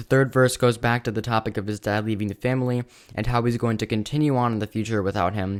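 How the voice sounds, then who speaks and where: Flat and monotone, a man rattles along at a very fast pace with a medium pitch. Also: very clean recording, silent background. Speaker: music reviewer and rapper. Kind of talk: album review monologue. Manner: hesitant, many fillers; casual.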